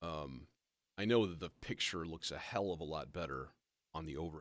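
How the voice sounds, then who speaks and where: Vocal fry marks this man's very deep, low voice. He speaks at a moderate pace in a dry, close sound with no echo. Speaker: live-streaming modular synth musician. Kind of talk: casual live stream talk.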